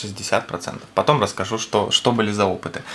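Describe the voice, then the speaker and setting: An unremarkable speaking voice from a man, fairly low in pitch, at a moderate pace. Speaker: product reviewer. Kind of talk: product review commentary. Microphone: camera far.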